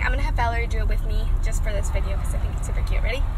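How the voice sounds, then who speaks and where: A woman talks over loud background noise. The sound is dry, with no echo. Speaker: vlogger. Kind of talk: casual vlog chat. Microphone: phone near.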